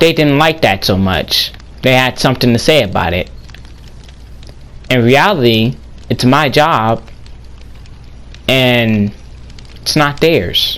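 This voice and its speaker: Pausing long and often, a man speaks at a very slow pace in a medium pitch with lively intonation. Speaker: gaming YouTuber. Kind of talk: casual vlog monologue.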